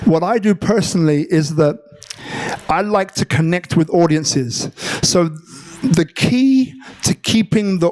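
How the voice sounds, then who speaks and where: A man speaks in a high pitch at a fairly slow pace. Noticeable background noise runs underneath. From London, England. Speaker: public speaking coach. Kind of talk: live workshop talk to audience. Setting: live venue.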